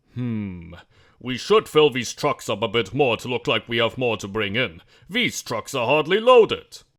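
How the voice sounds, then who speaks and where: A man puts on a growling character voice at a medium pitch. He goes at a moderate pace on a very clean recording with a silent background. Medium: audio drama. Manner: growling, scheming.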